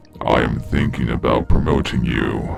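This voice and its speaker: A man growls in a put-on character voice with a very deep, low pitch, speaking at a moderate pace over clear background music. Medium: read story. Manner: slow, imperious.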